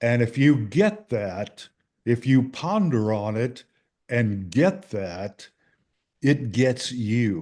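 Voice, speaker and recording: A man talks very slowly at a medium pitch. His tone is dark and mellow, and his intonation is lively. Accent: Texan. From Texas. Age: 80s+. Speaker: author and Marine veteran. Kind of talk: interview answer. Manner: slow, hesitant.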